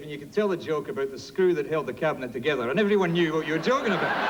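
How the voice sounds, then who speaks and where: In a Scottish accent, a man talks at a very fast pace with very wide pitch swings, amid audible room echo and noticeable background noise. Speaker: politician. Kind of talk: comedy debate speech. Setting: stage with audience.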